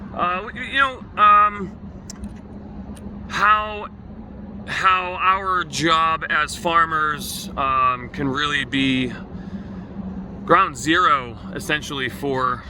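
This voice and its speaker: A man speaks at a very slow pace in a fairly high pitch, with lively intonation, long, frequent pauses and noticeable background noise. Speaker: farmer. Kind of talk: casual video update. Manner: halting, many fillers.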